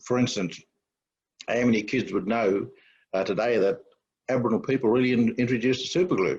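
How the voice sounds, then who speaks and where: At a very fast pace, broken by long, frequent pauses, a man talks at a medium pitch with ordinary pitch variation and very even loudness over a quiet background. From outback Queensland, Australia (Cunnamulla). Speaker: author and anti-racism campaigner. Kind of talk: panel discussion. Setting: webinar panel. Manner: halting, many restarts.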